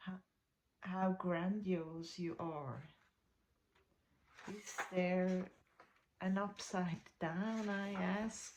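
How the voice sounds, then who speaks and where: A woman with a non-native accent, at a very slow pace with long, frequent pauses and fairly even intonation. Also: medium pitch for a woman. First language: not English. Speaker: spiritual content creator. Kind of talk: reading aloud. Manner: halting.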